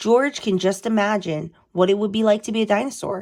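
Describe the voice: The voice has a slightly mellow tone and moves at a moderate pace. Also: woman.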